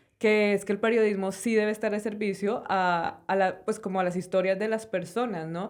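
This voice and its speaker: In a Colombian accent, a woman speaks at a medium pitch and a moderate pace with monotone, flat intonation and hardly any pauses. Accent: Colombian accent, kept and proud of it. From Colombia, Sopó near Bogotá. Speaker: journalist and podcast host. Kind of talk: interview conversation. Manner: casual, many fillers.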